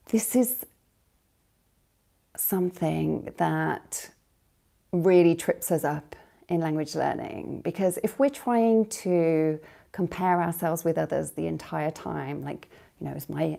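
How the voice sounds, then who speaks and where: A woman with a British accent speaks at a very slow pace, leaving long, frequent pauses. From Britain. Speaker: language coach. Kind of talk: live stream monologue. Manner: hesitant, many fillers.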